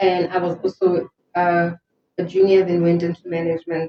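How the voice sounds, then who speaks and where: This woman has a fairly low pitch and a monotone, flat intonation. She keeps a moderate pace. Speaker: entrepreneur and marketing/HR professional. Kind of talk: interview.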